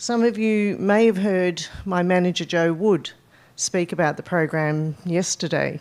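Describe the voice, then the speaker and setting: Speaking with an Australian accent, a woman has a fairly low pitch and ordinary pitch variation. Her pace is fairly slow. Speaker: conservation advisor. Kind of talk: conference presentation. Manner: hesitant, many fillers.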